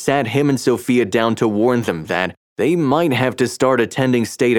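Reading aloud in a natural voice, quiet background

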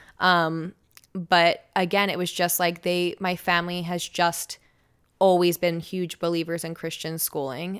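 A woman speaks with an American accent at a moderate pace. Her voice is fairly low-pitched and bright, sharp in tone. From US Northeast, South Jersey near Philadelphia. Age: 20s. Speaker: radio personality. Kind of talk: casual chat. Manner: trips over words.

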